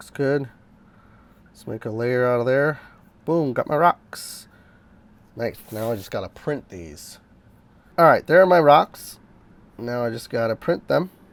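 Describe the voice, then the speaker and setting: Long, frequent pauses break up the speech. The pace is fairly slow. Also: man, medium pitch for a man, lively intonation. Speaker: sculptor and filmmaking hobbyist. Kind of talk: vlog tutorial. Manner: casual, animated.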